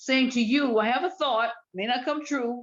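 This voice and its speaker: A woman at a moderate pace over a quiet background. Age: 60s. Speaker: retired teacher, discussion participant. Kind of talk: casual group discussion.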